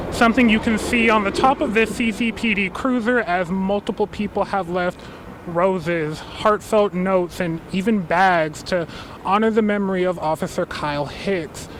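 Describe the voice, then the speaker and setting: At a moderate pace, a man with a high voice and ordinary pitch variation speaks over noticeable background noise. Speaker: television news reporter. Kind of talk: live TV news report to anchors.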